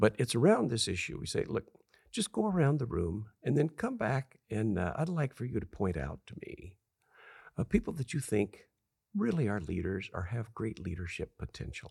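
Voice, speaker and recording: A man's medium-pitched, somewhat breathy voice with an American accent, very wide pitch swings, a moderate pace, and a dry, close sound with no echo. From Southern California desert farm town. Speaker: author and leadership consultant. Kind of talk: interview.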